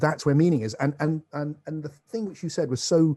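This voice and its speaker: Somewhat breathy and dark, mellow in tone, the man's voice sits fairly high in pitch. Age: 60s. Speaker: author and spiritual philosopher. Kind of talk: podcast interview.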